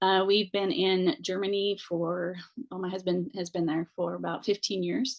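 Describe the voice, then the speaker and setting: A woman speaks with an American accent in a normal speaking voice. Her medium pitch shows ordinary pitch variation at a moderate pace. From United States. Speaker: missionary. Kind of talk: panel discussion.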